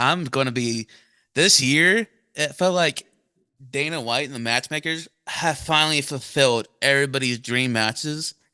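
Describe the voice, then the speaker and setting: A man with a bright, sharp tone speaks at a moderate pace with ordinary pitch variation. The sound is dry and close with no echo, over a quiet background. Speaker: podcast host. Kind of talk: casual chat.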